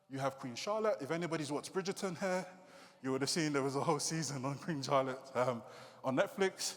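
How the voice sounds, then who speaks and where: A man with a British accent speaks at a fairly high pitch, his intonation lively. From UK, Nigerian heritage. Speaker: creative coder and digital artist. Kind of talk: conference talk. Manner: casual, hesitant fillers.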